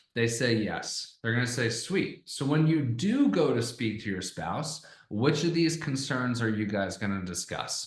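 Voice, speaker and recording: Somewhat breathy and at medium pitch, a man talks at a fairly slow pace with hardly any pauses, his tone energetic and animated and his intonation lively, against audible room echo. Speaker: online sales coach. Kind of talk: tutorial. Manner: energetic, animated; casual, conversational.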